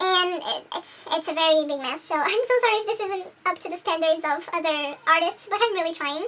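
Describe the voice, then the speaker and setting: A woman's extremely high-pitched voice at a fairly quick pace, hardly any pauses, over noticeable background noise. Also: ordinary pitch variation. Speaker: digital artist youtuber. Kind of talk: casual drawing vlog. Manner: halting, repeats words.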